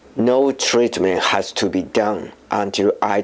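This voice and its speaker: A man with a Japanese accent, at a very slow pace. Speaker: filmmaker and voice actor. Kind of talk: personal testimony. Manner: halting.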